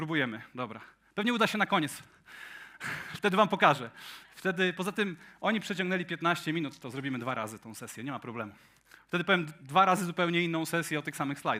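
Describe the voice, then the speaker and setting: A man with a bright, sharp tone and high pitch, talking at a very fast pace with big swings in loudness. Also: lively intonation. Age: 40s. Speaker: tech conference speaker. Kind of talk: conference talk. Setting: stage with audience.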